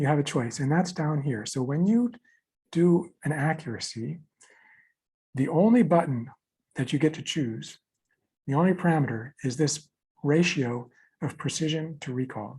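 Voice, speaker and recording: With lively intonation and long, frequent pauses, a man speaks in a fairly high, somewhat breathy voice with a dark, mellow tone. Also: moderate pace. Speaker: software developer giving a demo. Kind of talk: technical tutorial demo. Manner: repetitive, halting.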